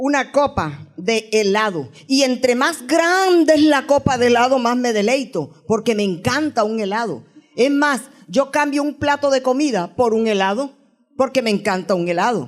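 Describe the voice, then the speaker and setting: A woman's high voice, lively in intonation, at a fairly slow pace. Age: 60s. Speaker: guest preacher. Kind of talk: sermon.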